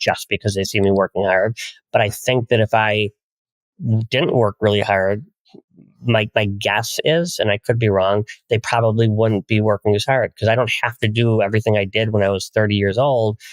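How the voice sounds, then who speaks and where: This man has a plain, everyday voice, pitched fairly low, speaking at a moderate pace with fairly even intonation in a dry, close sound with no echo. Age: 60s. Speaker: family wealth advisor. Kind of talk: podcast interview.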